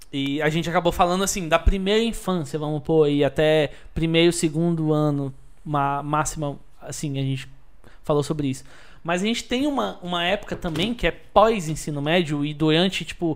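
On a very clean recording with a silent background, a man with a normal speaking voice talks at a moderate pace, his fairly high pitch showing ordinary pitch variation. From Brasília (Taguatinga and Asa Norte). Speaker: podcast guest. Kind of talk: casual chat.

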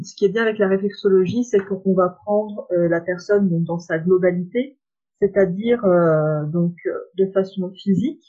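A woman speaks at a fairly slow pace in a medium pitch with ordinary pitch variation and a dark, mellow tone. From France, Saône-et-Loire. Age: 20s. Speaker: reflexologist. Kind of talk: interview. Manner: hesitant, many fillers.

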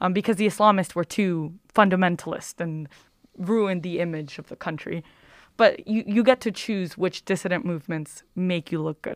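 An unremarkable speaking voice from a woman with an American accent, medium pitch, ordinary pitch variation, big swings in loudness and a moderate pace, dry and close with no echo on a very clean recording with a silent background. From New York City (Queens). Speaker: college student. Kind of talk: interview.

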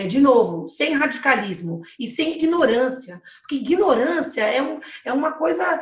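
The speech moves at a fairly slow pace with very wide pitch swings. Noticeable background noise and audible room echo surround it. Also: woman, high pitch for a woman. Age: 40s. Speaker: municipal economic development secretary. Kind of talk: live webinar interview. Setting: video call live stream.

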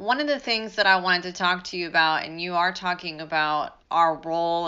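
A woman's unremarkable speaking voice, fairly low in pitch, with fairly even intonation. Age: 40s. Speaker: family law attorney and podcast host. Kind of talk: interview conversation.

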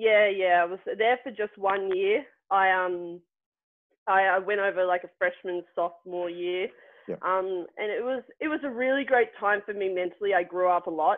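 Medium in pitch, a woman speaks with an Australian accent at a moderate pace and ordinary pitch variation. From Australia, Melbourne. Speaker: former athlete, bobsledder. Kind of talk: casual interview. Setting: remote call.

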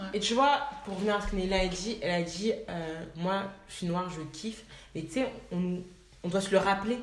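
With noticeable background noise and audible room echo, a woman talks at a moderate pace and medium pitch, with ordinary pitch variation and long, frequent pauses. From France, of Ivorian parents. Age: 20s. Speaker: management consultant. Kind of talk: casual chat.

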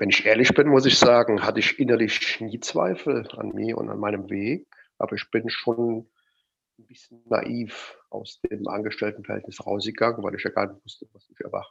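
Over a quiet background, a man speaks with vocal fry and big swings in loudness. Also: medium pitch for a man, fairly even intonation, moderate pace. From Rhineland, near Cologne. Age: 50s. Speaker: mindset and motivation coach. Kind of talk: interview.

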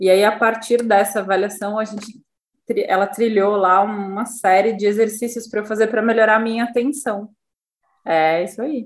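Speaking in a normal speaking voice, a woman keeps her fairly high pitch in fairly even intonation. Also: moderate pace. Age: 40s. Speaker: psychoanalyst and podcast co-host. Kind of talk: casual chat.

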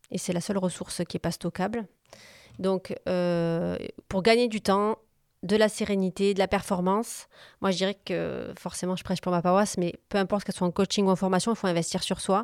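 A woman talks with fairly even intonation in a dry, close sound with no echo, captured in a very clean recording with a silent background. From southern France, Montpellier. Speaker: business coach and consultant. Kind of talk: interview conversation. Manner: hesitant, many fillers.

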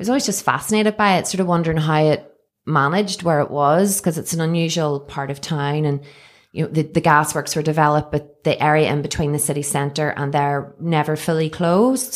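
Speaking fairly quickly in a Northern Irish accent, a woman uses a very deep, low pitch with ordinary pitch variation, on a very clean recording with a silent background. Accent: Northern Irish (Belfast). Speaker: cafe owner. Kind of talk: casual interview chat. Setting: studio.

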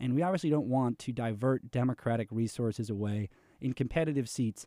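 A man with an American accent has a dark, mellow tone, captured in a very clean recording with a silent background. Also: dry, close sound with no echo. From New York City. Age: 20s. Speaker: political candidate. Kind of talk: interview.

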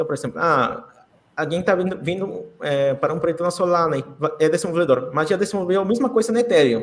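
High-pitched, very fast speech from a man with lively intonation. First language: Spanish (speaking Portuguese). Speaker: crypto community ambassador. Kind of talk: podcast interview.

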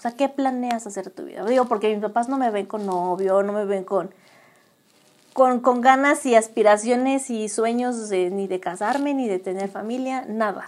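A normal speaking voice from a woman, fairly high in pitch, with ordinary pitch variation. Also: moderate pace. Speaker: podcast co-host. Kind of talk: casual chat.

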